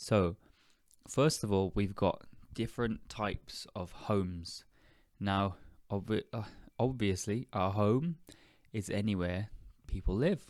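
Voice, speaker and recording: A man with a British accent speaks at a fairly slow pace in a fairly low pitch, with ordinary pitch variation. He leaves long, frequent pauses in a very clean recording with a silent background. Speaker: podcast host, English teacher. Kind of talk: educational podcast monologue. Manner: deliberately slowed.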